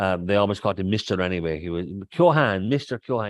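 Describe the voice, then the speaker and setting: Against a quiet background, a man with a Kerry accent speaks in a very deep, low pitch with ordinary pitch variation and a dry, close sound with no echo. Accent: Kerry Irish. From Ireland, North Kerry. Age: 60s. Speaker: poet. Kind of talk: interview conversation. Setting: stage with audience.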